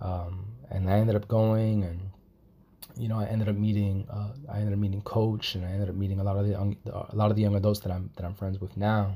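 Talking at a very fast pace, a man with a fairly low pitch and a dark, mellow, somewhat breathy tone keeps a monotone, flat intonation. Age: 20s. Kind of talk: personal testimony. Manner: halting, many fillers and repetitions.

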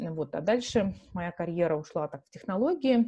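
With ordinary pitch variation, this voice has a somewhat breathy quality. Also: woman. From Russia, Yekaterinburg (Urals). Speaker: marketing executive, entrepreneur. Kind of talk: interview.

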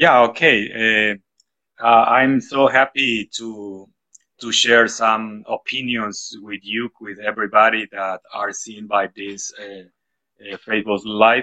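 A man's medium-pitched voice, dry and close with no echo, at a very slow pace with big swings in loudness. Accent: Spanish. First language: Spanish. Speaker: school principal and English teacher. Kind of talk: interview.

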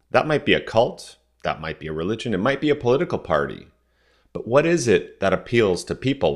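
In a very clean recording with a silent background, a man with a Canadian accent speaks at a moderate pace and medium pitch, with vocal fry and very wide pitch swings. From Southern Ontario, Canada. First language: French. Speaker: podcast host. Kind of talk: solo commentary monologue.

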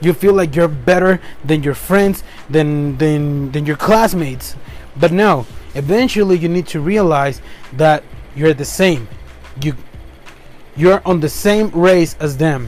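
The speaker, with a Spanish accent, talks at a fairly slow pace with long, frequent pauses and ordinary pitch variation. Noticeable background noise sits behind the voice. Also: man, fairly high pitch for a man. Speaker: podcast host. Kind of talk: motivational monologue. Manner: animated, upbeat; halting, self-correcting.

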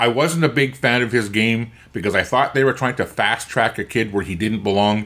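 In a Canadian prairie accent, a bright, sharp tone moves at a fairly quick pace on a very clean recording with a silent background. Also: man, medium pitch for a man, ordinary pitch variation. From Canada, Winnipeg. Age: 60s. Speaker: hockey podcast host. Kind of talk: casual chat. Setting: in person.

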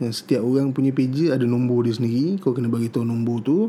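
A man speaks at a fairly quick pace in a medium pitch. He has a plain, everyday voice. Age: 40s. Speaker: tech podcast host. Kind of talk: casual solo podcast monologue. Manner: casual, with frequent fillers.

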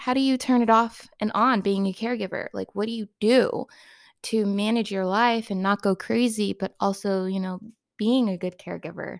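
A woman with a normal speaking voice talks at a moderate pace, fairly high in pitch and fairly even in intonation. The recording is very clean with a silent background and a dry, close sound with no echo. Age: 30s. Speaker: podcast host and caregiver of brain injury survivor. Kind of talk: casual solo talk to listeners.

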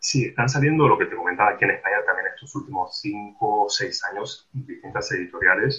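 Barely stopping to pause, a man delivers his words at a fairly quick pace. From Argentina. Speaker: literary translator and scholar. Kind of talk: interview. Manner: halting, with many repetitions.

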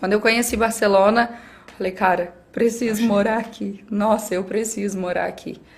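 A woman talks at a moderate pace with a fairly high pitch. Her intonation is monotone and flat, with noticeable background noise behind her. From Brazil, interior of Minas Gerais. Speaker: athlete and skydiver. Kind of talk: casual chat.

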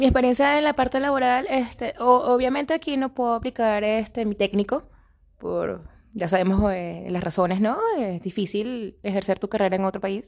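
Delivered at a moderate pace with ordinary pitch variation, this is an ordinary speaking voice against a quiet background. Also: woman, fairly high pitch for a woman. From Caracas, Venezuela. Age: 30s. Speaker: Venezuelan migrant, administration technician. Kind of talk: testimony and cultural presentation.

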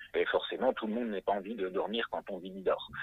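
A man talks at a moderate pace. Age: 30s. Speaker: hypnotherapist. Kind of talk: interview.

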